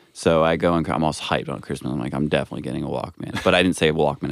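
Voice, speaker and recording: A man speaks at a very fast pace with a very deep, low pitch and some vocal fry. His intonation stays fairly even. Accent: American. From New Jersey, Sussex County. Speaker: podcast guest. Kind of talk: casual chat.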